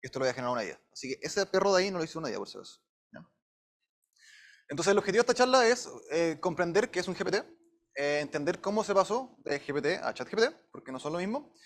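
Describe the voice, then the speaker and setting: A man's high-pitched voice in a Chilean accent at a very fast pace, with lively intonation and long, frequent pauses. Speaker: machine learning engineer giving a talk. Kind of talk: lecture. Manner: casual with many fillers.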